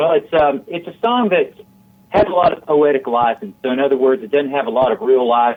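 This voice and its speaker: Lively intonation from a man with an American accent. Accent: Southern US, somewhat evened out. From Tennessee, Chattanooga. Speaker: country singer-songwriter. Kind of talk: radio interview.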